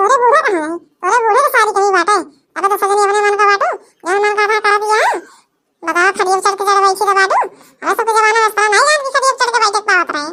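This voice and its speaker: In a cartoonish character voice, a woman speaks at an extremely high pitch and a very fast pace with ordinary pitch variation. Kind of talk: rustic village comedy. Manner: scolding, preachy.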